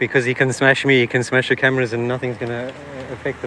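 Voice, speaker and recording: Over light background noise, a man speaks at a very fast pace in a monotone, flat way, the sound dry with no echo. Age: 40s. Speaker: cycling YouTuber. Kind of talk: live street vlog. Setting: outdoors. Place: street. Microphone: camera far.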